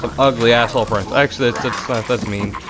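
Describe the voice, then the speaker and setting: A man talks at a very fast pace with medium pitch. Music plays in the background. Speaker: gaming YouTuber. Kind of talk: let's play commentary.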